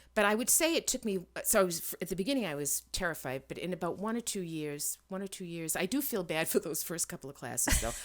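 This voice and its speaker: A woman's medium-pitched voice with an American accent, very fast and lively in intonation, on a very clean recording with a silent background. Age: 60s. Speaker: environmental scientist and educator. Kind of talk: interview. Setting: podcast.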